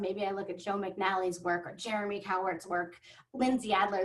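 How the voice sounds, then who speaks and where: A woman at medium pitch and a fairly quick pace. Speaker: professional dog photographer. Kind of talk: webinar presentation. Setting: online webinar. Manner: fast.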